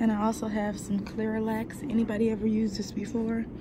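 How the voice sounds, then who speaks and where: There is noticeable background noise. Beneath it, a woman talks at a moderate pace. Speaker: vlogger. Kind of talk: casual vlog chat. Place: office. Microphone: phone near.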